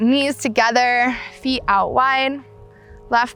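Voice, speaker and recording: A woman's calm, gentle tone over music in the background. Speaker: yoga teacher. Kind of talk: guided yoga class instruction. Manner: calm, slow, gentle.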